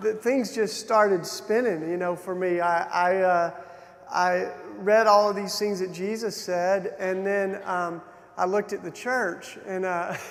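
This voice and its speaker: A man with a Southern US accent speaks fairly slowly, high-pitched, with fairly even intonation. Room echo is audible, and background noise is noticeable. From Tennessee, US South. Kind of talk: keynote talk with personal testimony. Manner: hesitant, many fillers and restarts.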